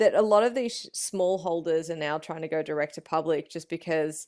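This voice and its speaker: A woman's fairly low voice at a fairly quick pace, ordinary pitch variation, very clean recording with a silent background. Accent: Australian. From Australia. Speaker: meat smoking and BBQ expert. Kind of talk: podcast interview answer. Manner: casual, conversational.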